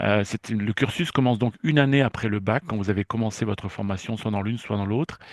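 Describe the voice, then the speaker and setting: The sound is dry and close with no echo as a man talks at a medium pitch with ordinary pitch variation. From France, Brittany (Brest). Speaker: university lecturer and researcher, chemist. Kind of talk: presentation to students. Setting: live online information session, filmed. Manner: hesitant, many fillers.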